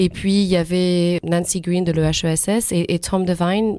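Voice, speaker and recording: Her fairly low pitch and dark, mellow tone carry fairly even intonation as this woman speaks. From France. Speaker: history lecturer. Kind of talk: radio interview.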